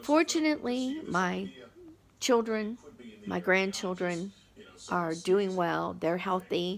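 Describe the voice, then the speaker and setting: At a very slow pace with long, frequent pauses, a woman speaks at medium pitch with lively intonation. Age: 60s. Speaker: vlogger. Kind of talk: personal testimony. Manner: casual, conversational.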